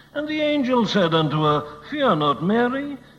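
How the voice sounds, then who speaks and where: A man at a fairly slow pace with very wide pitch swings, amid noticeable background noise. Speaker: preacher. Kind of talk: sermon.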